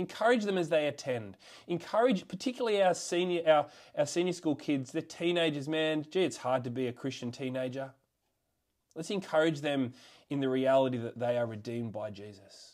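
Lively intonation in an Australian accent, at a fairly quick pace. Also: man, fairly high pitch for a man. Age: 30s. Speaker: school chaplain. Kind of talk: sermon. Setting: video call.

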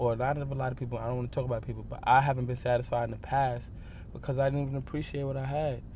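Somewhat breathy and very fast, a man talks at a medium pitch in a monotone, flat intonation, with audible room echo around him. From New York, the Bronx. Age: 20s. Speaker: subway musician. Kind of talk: interview.

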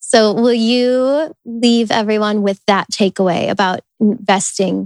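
This woman has a plain, everyday voice, fairly high in pitch with fairly even intonation, and the sound is dry and close with no echo. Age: 20s. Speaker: wellness podcast host. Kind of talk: interview; solo intro monologue.

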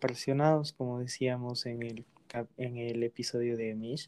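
A man's dark, mellow voice in a flat monotone. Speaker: podcast host. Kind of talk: casual chat.

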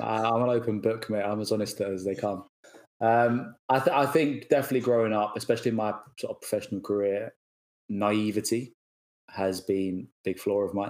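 A man with an ordinary speaking voice talks at a fairly quick pace and a fairly low pitch. His pitch variation is ordinary, but his loudness swings a lot. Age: 20s. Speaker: fitness industry professional. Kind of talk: casual interview chat.

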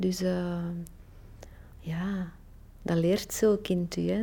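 With fairly even intonation, a woman talks at a medium pitch in a dark, mellow tone. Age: 50s. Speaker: library reader. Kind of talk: personal testimony.

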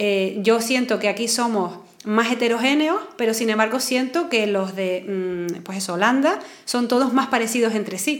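A woman's fairly high voice with ordinary pitch variation at a fairly slow pace, with audible room echo and noticeable background noise. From Canary Islands. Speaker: psychologist. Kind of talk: casual chat.

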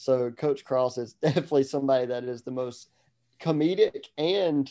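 Medium in pitch with a dark, mellow tone, a man talks at a moderate pace with ordinary pitch variation.

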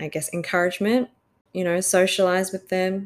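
In an Australian accent, a woman speaks at a medium pitch on a very clean recording with a silent background. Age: 20s. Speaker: podcast host. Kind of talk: casual solo monologue. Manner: hesitant with fillers.

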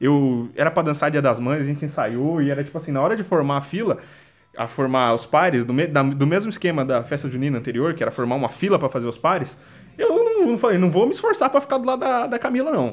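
A man talks at a very fast pace with an animated tone. His pitch is fairly high and his intonation lively. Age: 20s. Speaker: solo podcaster. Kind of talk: casual monologue. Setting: at home, sitting on the floor.

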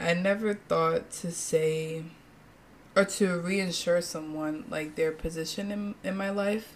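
A woman with a plain, everyday voice at a medium pitch, ordinary pitch variation and big swings in loudness. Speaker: podcast reviewer. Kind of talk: casual chat.

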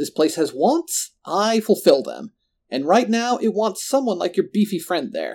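Putting on a character voice, a man speaks at a fairly slow pace with a high pitch, big pitch swings, a slightly mellow tone and vocal fry.

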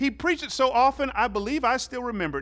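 With an American accent, this man talks at an extremely high pitch. His tone is bright and sharp. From US South, Georgia (Fairburn, south of Atlanta). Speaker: pastor. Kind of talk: sermon.

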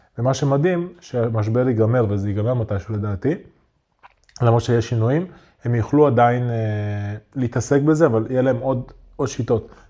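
The voice has a dark, mellow tone and ordinary pitch variation at a moderate pace. Long, frequent pauses break up the speech. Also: man. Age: 30s. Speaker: online entrepreneur, community owner. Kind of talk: casual interview chat. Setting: studio.

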